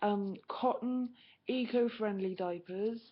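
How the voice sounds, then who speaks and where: With a British accent, a woman speaks at a very slow pace and a medium pitch. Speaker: vlogger and mother of twins. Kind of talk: webcam vlog monologue. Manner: monotone; halting.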